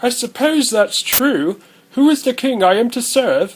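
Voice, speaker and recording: Doing a put-on character voice, a man speaks at an extremely high pitch and a moderate pace. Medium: machinima. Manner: polite, dry.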